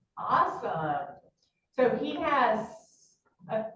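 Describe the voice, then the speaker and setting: Audible room echo rings around a woman whose voice sits fairly high. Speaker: meeting facilitator for health science educators. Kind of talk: casual meeting chat.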